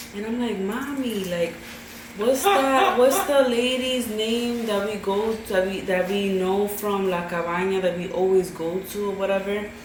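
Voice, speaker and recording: An American accent with ordinary pitch variation, audible room echo, and noticeable background noise. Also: woman, medium pitch for a woman, moderate pace. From New York, Brooklyn. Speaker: YouTuber's girlfriend. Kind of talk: casual chat. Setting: mukbang video.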